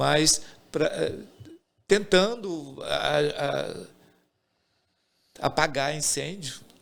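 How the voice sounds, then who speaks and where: Speaking at a very slow pace, a man leaves long, frequent pauses between his words. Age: 60s. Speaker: theatre director. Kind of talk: casual podcast interview. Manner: halting.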